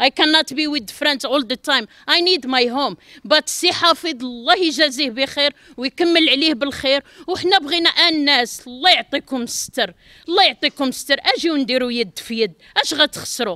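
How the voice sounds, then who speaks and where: A woman's raised, projected, high-pitched voice with a bright, sharp tone and lively intonation, in a dry, close sound with no echo and a very clean recording over a silent background. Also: moderate pace. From Morocco. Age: 50s. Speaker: apartment buyer. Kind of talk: street interview. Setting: outdoors at construction site. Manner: emotional pleading.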